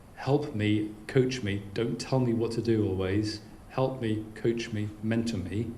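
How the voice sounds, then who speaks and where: Someone speaks at a very slow pace with fairly even intonation, amid noticeable background noise and audible room echo. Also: man. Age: 50s. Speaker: keynote speaker. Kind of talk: audience Q&A. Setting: business lunch with audience.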